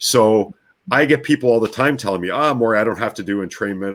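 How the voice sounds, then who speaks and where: With a Canadian accent and a fairly low pitch, a man talks at a moderate pace in an unremarkable speaking voice with ordinary pitch variation. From Canadian prairies, Winnipeg. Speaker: brainwave technology practitioner. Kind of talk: interview conversation.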